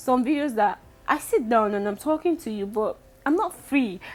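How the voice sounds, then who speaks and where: A woman's lively intonation over music in the background. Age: 20s. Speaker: vlogger. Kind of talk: casual vlog talk. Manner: speaking louder.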